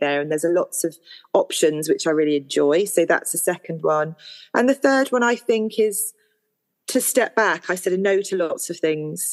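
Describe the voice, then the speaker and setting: A woman speaks in a normal speaking voice at a fairly quick pace. The sound is dry and close, with no echo. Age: 40s. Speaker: artist and mother of four. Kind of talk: personal testimony in interview.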